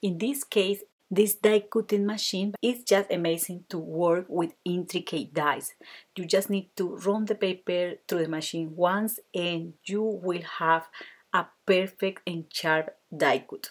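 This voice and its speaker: In a Spanish accent, a woman with a medium-pitched voice speaks at a fairly slow pace with fairly even intonation. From Colombia. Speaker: card-making crafter. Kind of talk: tutorial.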